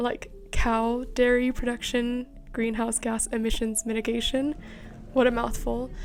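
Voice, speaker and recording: Music plays in the background while the speaker keeps a moderate pace. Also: woman. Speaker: vlogger. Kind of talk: casual vlog narration. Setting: at home.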